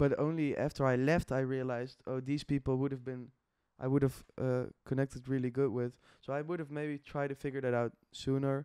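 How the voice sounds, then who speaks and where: The speaker talks at a fairly quick pace with flat, monotone intonation. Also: man, medium pitch for a man. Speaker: podcast host. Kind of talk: casual chat.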